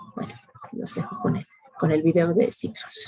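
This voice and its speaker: A woman's fairly low voice with lively intonation. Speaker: chemistry teacher. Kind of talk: online class lecture. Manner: slow; hesitant, many fillers.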